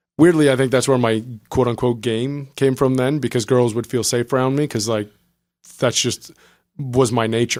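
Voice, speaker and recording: A man speaks with a slight French-Canadian accent at a moderate pace and medium pitch. His intonation is fairly even, with long, frequent pauses. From New Brunswick, Canada (Acadian French). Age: 30s. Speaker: startup co-founder. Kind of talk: podcast interview. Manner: casual, with frequent filler 'um'.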